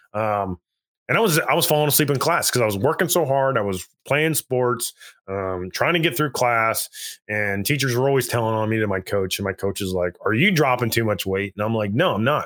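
Lively intonation from a man with an unremarkable speaking voice, medium pitch and a fairly quick pace, on a very clean recording with dry, close sound, no echo and a silent background. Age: 40s. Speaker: army veteran. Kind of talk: casual interview testimony.

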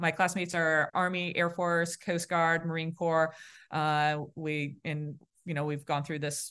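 A woman's fairly low, monotone, flat voice in a Boston accent, at a fairly slow pace against a quiet background. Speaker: naval aviator officer. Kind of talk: casual interview.

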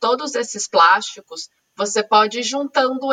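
In a São Paulo accent, a woman talks at a moderate pace in a high, bright, sharp voice with lively intonation. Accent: Brazilian Portuguese, São Paulo. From Brazil, São Paulo (East Zone). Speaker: podcast host. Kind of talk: casual interview chat.

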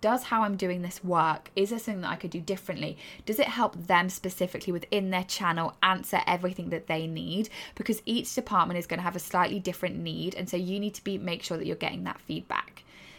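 A woman's medium-pitched voice with vocal fry, very fast with hardly any pauses, and ordinary pitch variation. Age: 30s. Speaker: marketing podcaster. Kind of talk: solo podcast monologue. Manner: fast talker.

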